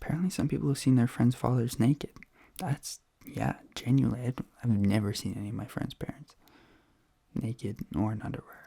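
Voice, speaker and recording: A whispering, soft-spoken man, somewhat breathy, at a fairly quick pace with long, frequent pauses. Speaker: ASMR content creator. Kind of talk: ASMR reading, casual talk to camera. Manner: soft-spoken, whispery.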